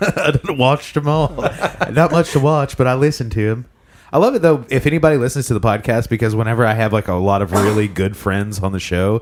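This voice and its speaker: A man at medium pitch, talking at a very fast pace with lively intonation. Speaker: podcast host. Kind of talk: casual chat.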